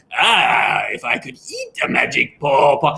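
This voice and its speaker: A put-on character voice, low-to-middle in pitch, at a fairly slow pace. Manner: doing silly character voices.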